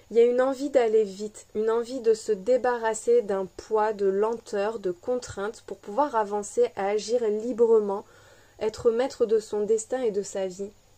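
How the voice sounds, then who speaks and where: A woman's fairly high, dark and mellow voice, flat and monotone, at a fairly slow pace. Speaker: tarot card reader. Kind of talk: collective tarot reading.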